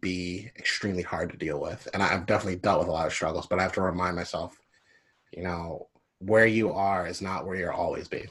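A man speaks with an American accent in an unremarkable speaking voice. His pitch is fairly low and his intonation fairly even. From Philadelphia, US. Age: 30s. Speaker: musician. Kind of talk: interview.

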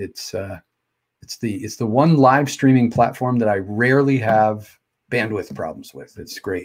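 A man speaks at a fairly slow pace and a medium pitch, with ordinary pitch variation. It's a normal speaking voice, with big swings in loudness. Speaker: podcast and live stream host. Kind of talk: casual interview chat. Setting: live video stream. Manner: casual, stumbling.

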